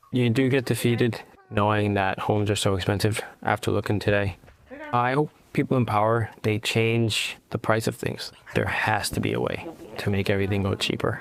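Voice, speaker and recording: The speech moves at a moderate pace with fairly even intonation and very even loudness against noticeable background noise. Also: man, fairly low pitch for a man. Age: 20s. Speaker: police officer. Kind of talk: personal testimony.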